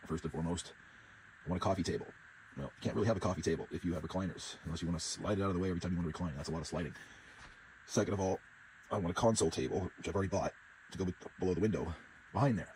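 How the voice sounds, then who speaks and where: The voice is somewhat breathy and moves at a very fast pace. Long pauses come often. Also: man, very deep, low pitch for a man, ordinary pitch variation. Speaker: RV living vlogger. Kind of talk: casual vlog.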